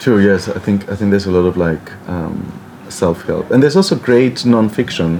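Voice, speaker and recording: Noticeable background noise surrounds a man speaking with lively intonation. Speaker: lecturer in English literature. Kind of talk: interview answer. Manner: slow.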